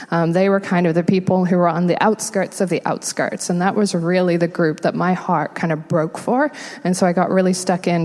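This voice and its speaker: A woman with an American accent at a fairly quick pace, ordinary pitch variation, noticeable background noise behind her. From England. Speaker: homelessness nonprofit worker. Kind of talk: interview testimony in church.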